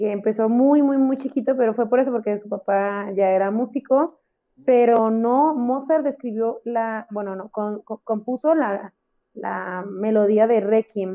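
At a fairly slow pace, a woman speaks in an unremarkable speaking voice, fairly high in pitch, with ordinary pitch variation. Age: 30s. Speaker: podcast co-host. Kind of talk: casual chat.

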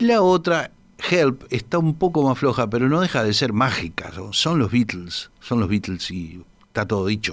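Pitch swings very wide from this man. He sits at a medium pitch and a moderate pace. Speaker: radio host. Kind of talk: casual chat.

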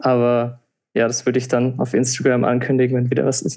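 The voice belongs to a man. It has a medium pitch. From Palatinate, Germany. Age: 20s. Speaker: techno DJ and engineering student. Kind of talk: podcast interview. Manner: hesitant, many filler sounds.

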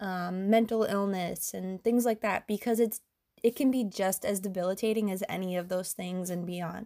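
Her intonation is fairly even. The woman's recording is very clean, with a silent background. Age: 30s. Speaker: podcast host, endometriosis patient advocate. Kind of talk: solo monologue podcast. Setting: home recording late at night. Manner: hesitant, many filler ums.

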